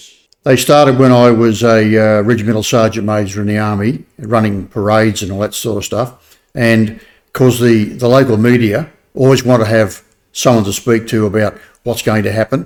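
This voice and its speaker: Someone with an Australian accent speaks at a moderate pace with fairly even intonation. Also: man, medium pitch for a man. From New South Wales, Australia. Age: 70s. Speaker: army veteran. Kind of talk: casual interview. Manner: hesitant with many fillers.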